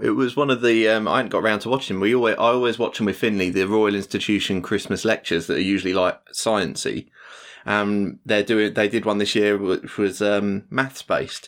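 With an English accent, a man talks at a fairly quick pace and medium pitch in a very clean recording with a silent background. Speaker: podcast producer and co-host. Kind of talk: casual chat.

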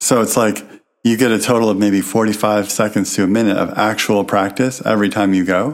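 A man talks at a fairly quick pace and a fairly low pitch, his loudness very even. It is an ordinary speaking voice with fairly even intonation. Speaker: podcast co-host. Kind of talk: casual chat.

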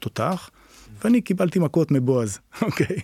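A man with a normal speaking voice talks at a fairly quick pace with lively intonation, recorded very cleanly against a silent background in a dry, close sound with no echo. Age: 50s. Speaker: martial arts teacher. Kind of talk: casual interview chat.

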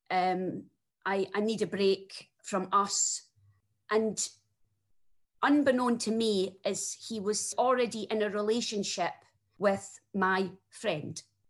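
A woman speaks at medium pitch with a strong Scottish accent. Her pace is very slow, her intonation fairly even, with long, frequent pauses. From Scotland. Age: 40s. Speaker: single mother sharing breakup story. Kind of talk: interview testimony.

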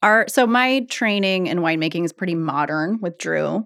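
In an ordinary speaking voice, a woman speaks at a moderate pace and medium pitch with ordinary pitch variation. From Oregon, Eugene. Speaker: winemaker. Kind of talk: casual chat.

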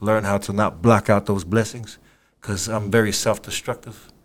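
A man's fairly low, monotone, flat voice in a Samoan accent, on a very clean recording with a silent background. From Samoa, Apia. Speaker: rapper. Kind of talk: casual interview.

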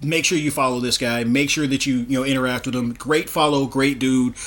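There is noticeable background noise behind this man. He speaks at a moderate pace and medium pitch with monotone, flat intonation. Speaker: podcast host. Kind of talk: casual interview.

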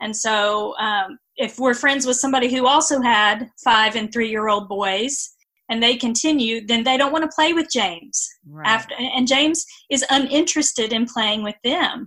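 Delivery comes at a moderate pace with ordinary pitch variation. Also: woman, high pitch for a woman. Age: 40s. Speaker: author and church special-needs ministry leader. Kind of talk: interview.

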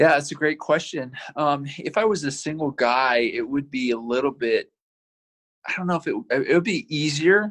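Lively in intonation, a man speaks at a fairly slow pace. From Utah (Provo). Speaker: adaptive athlete and hunter, motivational speaker. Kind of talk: casual interview.

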